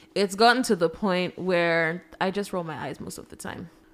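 Heard in a very clean recording with a silent background, a woman speaks with lively intonation. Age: 20s. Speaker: podcast co-host. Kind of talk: casual chat.

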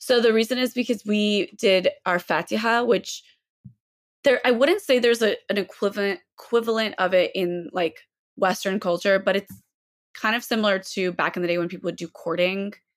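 A woman speaks with an American accent at a medium pitch. Her pace is moderate. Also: ordinary pitch variation. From US South, Mobile, Alabama. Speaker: fashion content creator and social activist. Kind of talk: casual chat. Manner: halting, frequent fillers.

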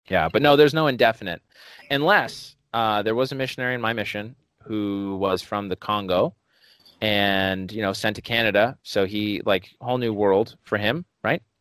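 A man with an ordinary speaking voice talks at a moderate pace and a fairly low pitch, with ordinary pitch variation and a dry, close sound with no echo. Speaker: podcast host and stand-up comedian. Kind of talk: casual interview conversation. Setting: video call.

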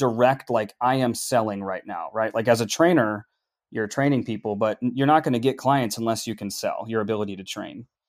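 A man with an American accent and an ordinary speaking voice talks at a fairly quick pace in a medium pitch with ordinary pitch variation, in a very clean recording with a silent background. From US Upper Midwest, Minneapolis. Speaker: sales professional in tech. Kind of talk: podcast interview.

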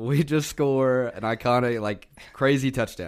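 A man with an ordinary speaking voice, medium pitch, and ordinary pitch variation. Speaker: co-host, Tennessee fan. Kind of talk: casual sports banter.

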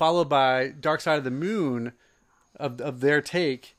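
An unremarkable speaking voice from a man with an American accent, fairly high pitched, at a moderate pace, in a very clean recording with a silent background. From New Jersey. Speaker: podcast co-host. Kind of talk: casual chat.

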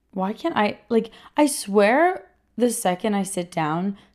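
In an animated tone, a woman talks with a New York accent. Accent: New York area American. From New York (Queens, Rockland County). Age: 20s. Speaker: podcast host. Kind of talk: casual solo chat. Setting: home recording setup.

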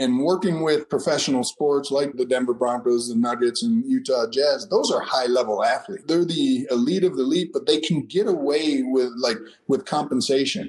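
Over noticeable background noise, a man with a fairly high pitch talks at a fairly quick pace with lively intonation and hardly any pauses. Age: 50s. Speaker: strength and conditioning trainer. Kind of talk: interview.

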